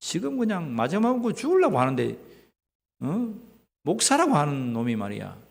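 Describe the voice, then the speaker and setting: Speaking with a Gyeongsang accent, a man uses very wide pitch swings and vocal fry, with audible room echo around him. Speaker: pastor. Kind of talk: sermon. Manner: animated.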